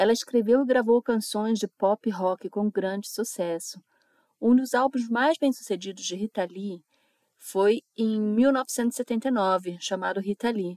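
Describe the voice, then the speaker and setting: In a very clean recording with a silent background and a dry, close sound with no echo, a woman with a fairly high pitch and a dark, mellow tone speaks at a very slow pace with ordinary pitch variation. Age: 50s. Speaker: radio host. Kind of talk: radio music show presenting.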